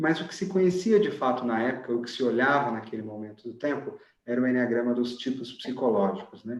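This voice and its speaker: With a Brazilian accent, a man speaks at a fairly quick pace and with lively intonation. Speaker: enneagram teacher and author. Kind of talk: online lecture.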